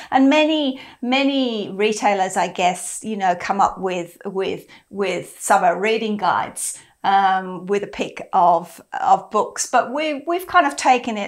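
With an Australian accent, a woman moves through very wide pitch swings at a fairly slow pace against a quiet background. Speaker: book club host. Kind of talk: casual chat. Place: home room. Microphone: lapel.

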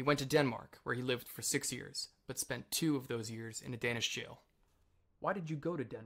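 A man's ordinary speaking voice at medium pitch, moving at a fairly quick pace with ordinary pitch variation. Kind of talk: reading of a written interview and narration.

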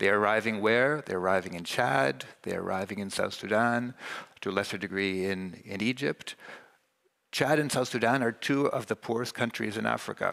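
Against a quiet background, a voice with a Canadian accent moves at a moderate pace, showing vocal fry, a bright, sharp tone and ordinary pitch variation. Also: man, fairly low pitch for a man. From Canada. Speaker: UN refugee agency official; panelist. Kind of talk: panel discussion. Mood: earnest, measured. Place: stage. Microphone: headset.

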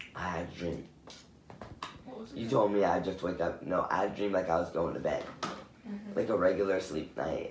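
A man speaks at a fairly quick pace. There is audible room echo and light background noise. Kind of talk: casual drowsy chat. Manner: groggy, drowsy post-anesthesia speech. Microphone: phone near.

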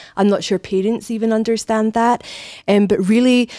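A woman speaks with a Scottish accent in a dark, mellow tone. The background is quiet. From Scotland. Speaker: human resources director; interviewee. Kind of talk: interview. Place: office. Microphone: handheld.

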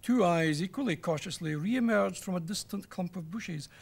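A man speaks with a high-pitched voice. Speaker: storyteller. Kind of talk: children's story reading. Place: studio.

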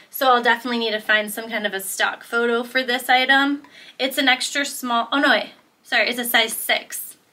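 With an American accent, the speaker has a bright, sharp tone and a flat, monotone intonation at a fairly quick pace. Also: woman, high pitch for a woman. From Michigan, US Midwest. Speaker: clothing reseller and video creator; thrift reseller. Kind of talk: casual haul video. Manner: casual, filler-heavy. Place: home room.

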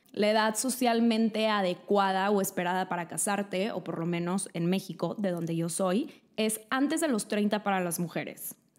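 A woman at a moderate pace with hardly any pauses, ordinary pitch variation, and a quiet background. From Mexico. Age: 20s. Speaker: lifestyle YouTuber. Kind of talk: vlog monologue. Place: home room. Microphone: studio mic.

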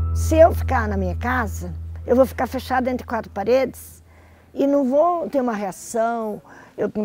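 A woman's voice comes through dry with no echo, faint music playing in the background. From Brazil, Paraná (Curitiba). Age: 60s. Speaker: stadium press accreditation worker. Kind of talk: personal testimony interview. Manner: conversational, hesitant at times. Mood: calm, reflective. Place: cafe. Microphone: lapel.

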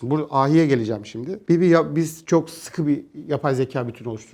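A very fast-talking man with lively intonation over a quiet background. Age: 40s. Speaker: crypto company executive and economist. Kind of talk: interview. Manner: casual, colloquial.

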